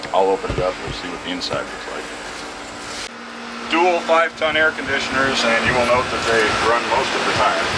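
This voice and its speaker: With lively intonation and medium pitch, a man talks at a fairly quick pace but leaves long, frequent pauses, over noticeable background noise. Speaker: broadcast engineer. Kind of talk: guided tour explanation. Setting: transmitter site, noisy equipment.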